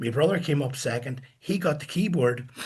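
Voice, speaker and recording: A man talks at a moderate pace with a fairly high pitch. His voice is somewhat breathy. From Northern Ireland, Coleraine. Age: 70s. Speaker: musician and record producer. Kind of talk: interview storytelling.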